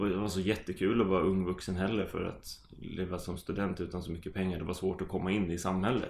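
A man speaks with a very deep, low pitch. His intonation is monotone and flat, and his pace is fairly quick. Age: 20s. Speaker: amateur footballer. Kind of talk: casual chat.

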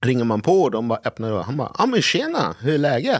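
The recording of this man speaking is very clean, with a silent background. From Sweden, partly raised in Brazil. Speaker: sommelier. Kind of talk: casual chat.

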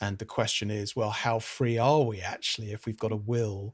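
The speaker is a man with a British accent. His intonation is fairly even. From Britain. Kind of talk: casual interview conversation. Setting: video call.

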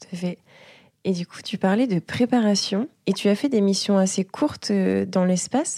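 A woman with a medium pitch and a dark, mellow tone talks at a fairly slow pace, with ordinary pitch variation but big swings in loudness. The recording is very clean with a silent background and a dry, close sound with no echo. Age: 20s. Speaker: airline pilot, interviewer. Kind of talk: mentoring interview conversation. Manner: hesitant, with fillers and repetitions.

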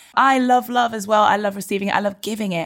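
The speech is very fast. It comes with a British accent. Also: woman. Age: 30s. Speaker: broadcaster and presenter. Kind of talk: casual chat. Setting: video call.

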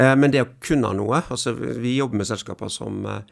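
A man's voice with vocal fry at a moderate pace. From western Norway, near Haugesund. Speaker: entrepreneur and investor. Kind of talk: interview. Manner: halting.

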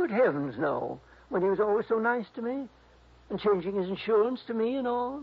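A man puts on a high-pitched character voice with vocal fry and a slightly husky edge, using lively intonation at a moderate pace.

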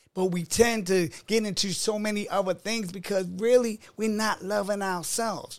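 A high-pitched man with a Baltimore accent, fairly even intonation, a moderate pace and hardly any pauses. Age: 50s. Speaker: author and life coach. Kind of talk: casual interview chat.

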